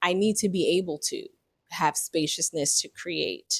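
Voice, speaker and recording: Her intonation is fairly even as the woman speaks at a moderate pace. The recording is very clean, with a silent background and a dry, close sound with no echo. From New York (the Bronx). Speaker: vlogger. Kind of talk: personal reflection vlog. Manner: halting.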